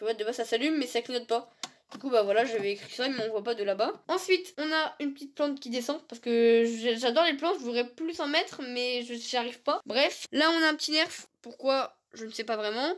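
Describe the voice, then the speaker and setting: The speech moves fairly quickly with hardly any pauses, ordinary pitch variation, and big swings in loudness. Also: woman, high pitch for a woman. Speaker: gaming YouTuber. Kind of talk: casual setup tour vlog. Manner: fast.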